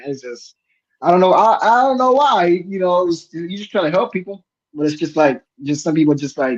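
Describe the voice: With lively intonation, a man speaks at a high pitch and a moderate pace.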